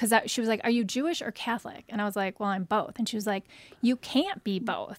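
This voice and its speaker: A woman talks at a very fast pace in a dry, close sound with no echo. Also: fairly high pitch for a woman, ordinary pitch variation. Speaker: author. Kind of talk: interview. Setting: studio.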